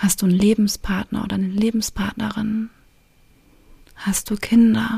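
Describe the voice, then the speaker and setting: This woman's voice is somewhat breathy, with a dark, mellow tone and a gentle, calm tone. She leaves long, frequent pauses. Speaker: relationship coach and podcast host. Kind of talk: guided meditation. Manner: slow, calm, soothing, with long pauses; gentle, intimate, directly addressing the listener.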